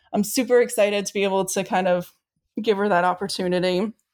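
Using an unremarkable speaking voice, a woman with an American accent talks at a fairly quick pace and a medium pitch. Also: very clean recording, silent background. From Maine, US Northeast. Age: 40s. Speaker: foundation staff member. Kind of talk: casual chat.

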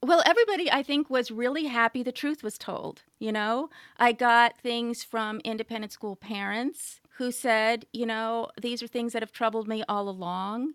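A woman with an American accent and a plain, everyday voice talks at a moderate pace with hardly any pauses, fairly high pitch and ordinary pitch variation, in a dry, close sound with no echo on a very clean recording with a silent background. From California. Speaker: writer and journalist. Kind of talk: interview conversation.

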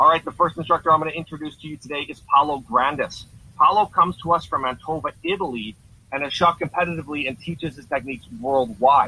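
A man talks at a very fast pace in a fairly high pitch, with big swings in loudness. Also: ordinary pitch variation. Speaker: podcast host. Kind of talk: moderated panel discussion. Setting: video call.

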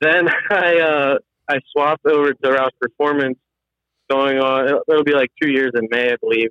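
An ordinary speaking voice from a man with an American accent, at a fairly high pitch and a moderate pace, with fairly even intonation and very even loudness. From Pennsylvania, US. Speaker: automotive engineer and drifting hobbyist. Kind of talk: casual interview. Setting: phone call while driving.

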